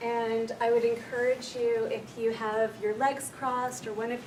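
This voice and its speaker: A woman speaks in a soothing tone with a fairly high pitch. There is audible room echo and noticeable background noise. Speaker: clinical counsellor, workshop leader. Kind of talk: guided meditation; workshop talk. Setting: room with live audience. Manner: slow, soothing.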